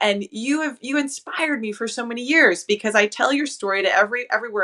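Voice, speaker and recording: Over noticeable background noise, a woman speaks in a high pitch with lively intonation and an enthusiastic tone. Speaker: fitness trainer. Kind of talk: interview host talk.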